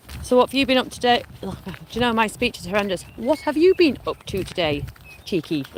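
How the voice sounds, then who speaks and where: A woman with a Lancashire accent speaks at a high pitch with very wide pitch swings over noticeable background noise. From Lancashire, northern England. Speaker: vlogger. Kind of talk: casual chat.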